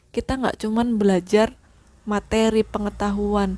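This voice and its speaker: A woman's somewhat breathy voice, dark and mellow in tone, at medium pitch and a moderate pace. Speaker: podcaster. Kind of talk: casual monologue. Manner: halting, self-correcting.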